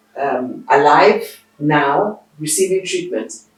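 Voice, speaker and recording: This woman talks at a very slow pace. The room around her gives an audible echo. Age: 60s. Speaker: veteran television producer and broadcaster. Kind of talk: interview. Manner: halting, with many fillers.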